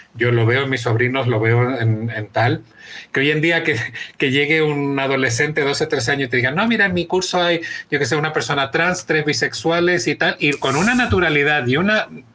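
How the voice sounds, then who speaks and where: A man's fairly high, bright and sharp voice, quick-paced, with lively intonation and very even loudness. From Chile. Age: 40s. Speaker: journalist and author. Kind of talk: interview.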